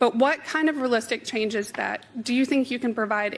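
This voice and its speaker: Fairly quick delivery with ordinary variation in pitch. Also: woman. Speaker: town hall audience member. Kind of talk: question at televised town hall. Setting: televised town hall with audience. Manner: shaky, halting.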